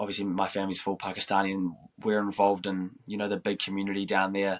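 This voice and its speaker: A man at a very fast pace, fairly low in pitch with monotone, flat intonation and a slight New Zealand accent, on a very clean recording with a silent background. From New Zealand, Christchurch. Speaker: professional footballer. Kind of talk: interview.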